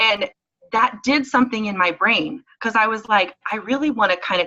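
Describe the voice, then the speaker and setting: A loud, animated woman's voice, bright and sharp, fairly high in pitch, with lively intonation. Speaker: network marketing leader and event organizer. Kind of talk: talk on a team conference call.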